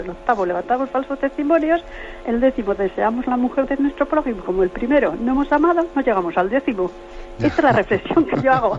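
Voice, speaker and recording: A woman's fairly high voice with very wide pitch swings, at a fairly quick pace over noticeable background noise. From Navarre, Spain. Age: 60s. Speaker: radio caller. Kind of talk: phone-in comment.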